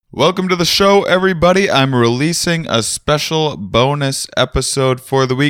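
A man with an American accent talks at a fairly slow pace, using a plain, everyday voice with lively intonation and fairly high pitch. The recording is very clean, with a silent background. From US Midwest, Wisconsin. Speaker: podcast host and comedian. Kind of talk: casual interview.

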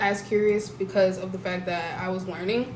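A woman speaks at a moderate pace and medium pitch. She has a plain, everyday voice. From US, African immigrant parents. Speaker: podcast guest. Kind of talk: casual chat.

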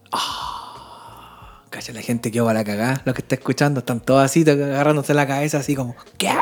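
With a Chilean accent and a very deep, low pitch, a woman talks at a fairly quick pace with hardly any pauses and big swings in loudness over noticeable background noise. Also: fairly even intonation. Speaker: podcast co-host. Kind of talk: casual chat.

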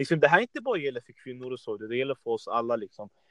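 A man speaks at a medium pitch with fairly even intonation, in a plain, everyday voice. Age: 20s. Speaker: fitness podcast host. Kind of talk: casual interview.

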